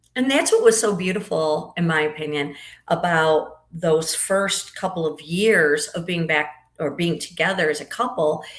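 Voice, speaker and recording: With a plain, everyday voice, a woman speaks at a moderate pace, using a fairly low pitch and ordinary pitch variation. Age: 60s. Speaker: podcast guest. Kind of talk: casual interview chat.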